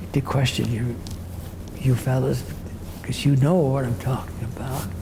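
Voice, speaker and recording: A man's medium-pitched voice at a very slow pace, with audible room echo and noticeable background noise. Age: 80s+. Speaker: retired judge. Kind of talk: oral history interview. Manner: halting, repeats words.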